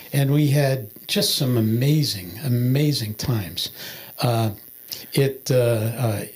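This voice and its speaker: At a very slow pace with long, frequent pauses, a man speaks at medium pitch in a somewhat breathy voice, his loudness very even and his pitch variation ordinary. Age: 70s. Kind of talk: testimony. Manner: halting, many filler words.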